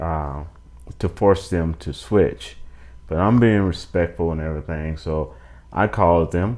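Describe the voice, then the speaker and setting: This man speaks with an American accent at a very slow pace. His pitch is very deep and low, with ordinary variation. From United States. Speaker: YouTuber. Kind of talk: casual monologue review. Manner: halting, with fillers and restarts.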